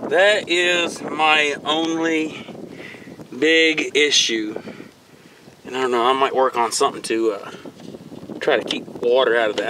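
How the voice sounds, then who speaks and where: A man speaks with ordinary pitch variation and long, frequent pauses, his voice dry with no echo against noticeable background noise. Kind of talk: casual vlog commentary. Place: street. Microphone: phone near.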